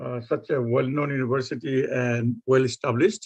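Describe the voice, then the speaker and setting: A man at a moderate pace with a Bengali accent, in a dry, close recording with no echo. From Bangladesh. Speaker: professor. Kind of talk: lecture.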